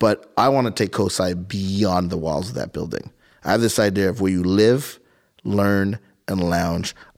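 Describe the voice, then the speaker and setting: A man's fairly low pitch and moderate pace mark an unremarkable speaking voice. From Montreal, Canada. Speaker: science museum CEO. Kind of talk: casual interview. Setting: studio.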